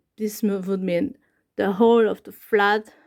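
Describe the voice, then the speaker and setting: In a very clean recording with a silent background, a woman with a Hungarian accent speaks at a fairly high pitch in a monotone, flat intonation. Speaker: YouTuber. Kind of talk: casual talk to camera. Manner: halting.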